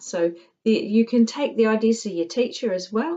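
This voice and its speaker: Speaking at a moderate pace in a New Zealand accent, a woman uses a medium pitch and lively intonation. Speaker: tutor. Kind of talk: tutorial.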